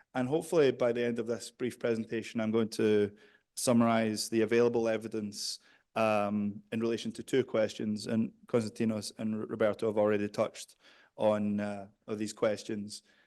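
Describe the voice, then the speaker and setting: A man with a Scottish accent, flat and monotone, at a moderate pace over a quiet background. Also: medium pitch for a man. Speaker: behavioral psychologist and researcher. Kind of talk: conference presentation. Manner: hesitant, many fillers.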